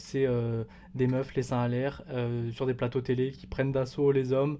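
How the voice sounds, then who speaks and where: In a dark, mellow tone, a man speaks at medium pitch and a moderate pace with monotone, flat intonation. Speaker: podcast host. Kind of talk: casual chat. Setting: recorded at cousin's home.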